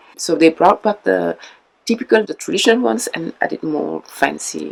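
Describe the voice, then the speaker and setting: The pace here is moderate. It comes in a French accent. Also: woman. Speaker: mask maker. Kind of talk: interview explaining history. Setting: mask workshop. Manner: hesitant with filler sounds.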